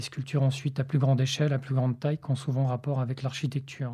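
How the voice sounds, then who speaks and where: In a very clean recording with a silent background, a man talks at a medium pitch with a dark, mellow, somewhat breathy tone. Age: 40s. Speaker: sculptor and visual artist. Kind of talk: interview conversation about art. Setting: indoor recording at the academy premises. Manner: some hesitations and repeated words.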